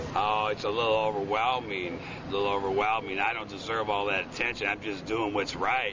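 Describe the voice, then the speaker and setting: With an American accent, a man speaks in a monotone, flat intonation with hardly any pauses. Background noise is noticeable. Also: fairly low pitch for a man, fairly quick pace. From Chicago, Illinois. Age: 60s. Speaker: Vietnam veteran. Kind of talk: news interview answer.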